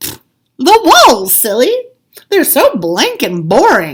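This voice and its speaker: Bellowing in a put-on character voice, a woman speaks very slowly at a high pitch with very wide pitch swings. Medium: read story. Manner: exuberant, bellowing.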